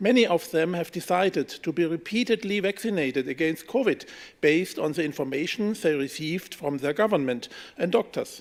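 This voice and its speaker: A man's fairly high-pitched voice with a German accent, ordinary pitch variation and a moderate pace. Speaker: politician. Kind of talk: press conference statement. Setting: press room. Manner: reading from script.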